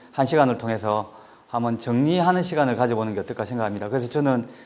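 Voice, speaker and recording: At a very fast pace, a man talks in a medium pitch. His pitch variation is ordinary. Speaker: education official. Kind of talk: lecture.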